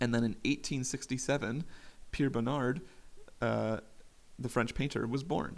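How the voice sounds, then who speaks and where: A man speaks at medium pitch with vocal fry. His pitch variation is ordinary. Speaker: podcast host. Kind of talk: casual solo monologue. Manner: fast; casual, with frequent fillers.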